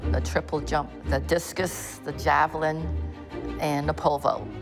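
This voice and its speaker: A woman's voice at a moderate pace, with music in the background. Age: 80s. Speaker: senior track and field athlete. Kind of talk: documentary interview.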